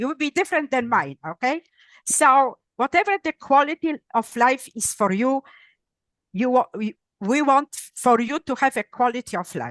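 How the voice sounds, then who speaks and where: A woman's high voice with very wide pitch swings at a moderate pace, dry and close with no echo, over a quiet background. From Poland. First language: Polish. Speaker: neuropsychologist and author. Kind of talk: interview. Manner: halting, self-correcting.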